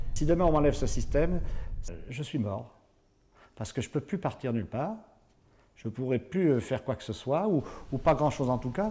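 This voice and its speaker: At a moderate pace, a man speaks in a dark, mellow tone in a very clean recording with a silent background. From southwestern France (Béarn). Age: 60s. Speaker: paraplegic driver giving a testimony. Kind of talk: testimony. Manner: halting, many hesitations and repetitions.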